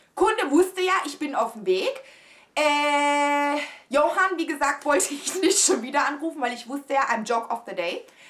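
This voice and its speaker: A woman speaks at a moderate pace in a high pitch, with very wide pitch swings and big swings in loudness. Music plays in the background. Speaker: vlogger. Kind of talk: storytelling, casual vlog chat to camera. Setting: home video. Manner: animated, chatty, exclamatory, mixes in English phrases; excitable, dramatic, confiding. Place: home room.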